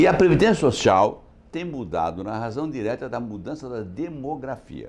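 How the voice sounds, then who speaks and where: At a moderate pace, a man with a medium pitch talks with vocal fry, very wide pitch swings and big swings in loudness. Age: 70s. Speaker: insurance executive. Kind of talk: interview.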